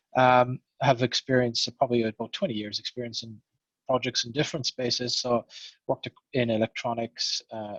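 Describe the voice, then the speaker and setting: Very fast speech in an Irish accent, with a dry, close sound and no echo. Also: man. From Ireland. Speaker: programme manager. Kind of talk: panel introduction.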